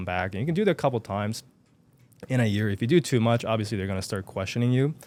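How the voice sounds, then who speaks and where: A man talks at a medium pitch with ordinary pitch variation. The recording is very clean, with a silent background. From Japan. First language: Japanese. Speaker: self-publishing entrepreneur. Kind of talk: casual interview chat. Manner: occasional stuttering.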